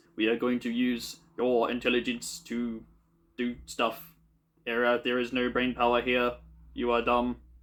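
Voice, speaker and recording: Using a put-on character voice, a man speaks at a moderate pace with long, frequent pauses on a very clean recording with a silent background. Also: medium pitch for a man. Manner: menacing, cold.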